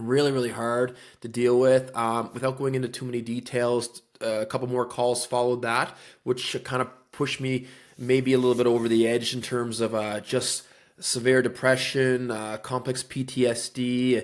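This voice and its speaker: A man speaks in a Newfoundland accent at medium pitch. His intonation is monotone and flat, and his pace is moderate. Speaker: real estate agent, former police officer. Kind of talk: podcast interview.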